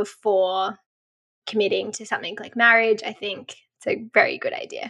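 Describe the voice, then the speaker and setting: Her tone is bright and sharp, with a fairly high pitch. The woman speaks in an Australian accent. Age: 30s. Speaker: travel blogger and photographer. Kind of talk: casual interview chat.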